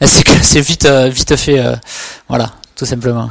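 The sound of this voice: A man's medium-pitched voice at a fairly slow pace, with fairly even intonation.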